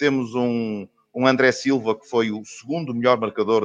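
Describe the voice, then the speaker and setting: The man has an unremarkable speaking voice, medium in pitch with ordinary pitch variation. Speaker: football radio commentator. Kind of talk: casual chat.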